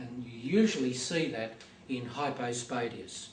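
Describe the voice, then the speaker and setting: Over noticeable background noise and audible room echo, a man speaks at a moderate pace in a medium pitch. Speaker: hospital doctor. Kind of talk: lecture. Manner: hesitant, many fillers.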